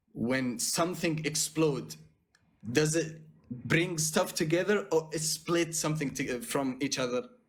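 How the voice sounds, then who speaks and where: A man speaks with a non-native accent at a fairly high pitch. His pace is fairly slow and his pitch varies in an ordinary way. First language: not English. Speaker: caller debating for God. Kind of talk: debate. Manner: halting.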